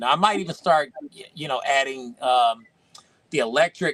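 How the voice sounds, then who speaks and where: A dry, close recording with no echo captures a man with a fairly high pitch and ordinary pitch variation. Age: 50s. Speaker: toy collector and video creator. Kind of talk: casual chat. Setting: live stream.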